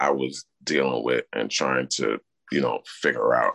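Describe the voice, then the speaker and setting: Speaking at a fairly slow pace in a Brooklyn accent, a man comes across with a dry, close sound and no echo. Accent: New York (Brooklyn). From Brooklyn, New York City. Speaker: criminal justice advocate, formerly incarcerated. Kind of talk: interview.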